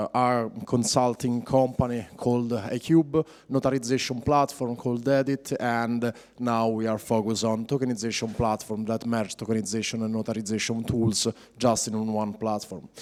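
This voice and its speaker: Speaking with an Italian accent, a man uses a medium pitch, a moderate pace and fairly even intonation. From Italy. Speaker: blockchain project manager. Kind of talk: conference talk. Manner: halting, many fillers.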